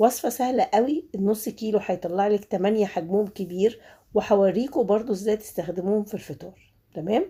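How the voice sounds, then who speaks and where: In a very clean recording with a silent background, a woman with a dark, mellow tone and fairly high pitch speaks at a moderate pace, her pitch varying in an ordinary way. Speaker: home cooking YouTuber. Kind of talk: cooking tutorial. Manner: halting, many fillers.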